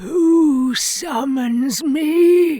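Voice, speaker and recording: A woman puts on a character voice. It is raspy and pitched high. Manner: scowling.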